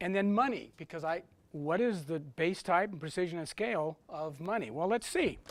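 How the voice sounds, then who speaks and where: Here a man talks in a high pitch with ordinary pitch variation. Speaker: technical conference speaker. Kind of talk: lecture. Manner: fast.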